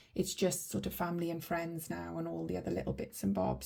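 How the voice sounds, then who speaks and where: The speaker is a woman. She talks with a Welsh accent. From Wales, Welsh valleys. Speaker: budgeting vlogger. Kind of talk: casual vlog tutorial. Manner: chatty, many fillers.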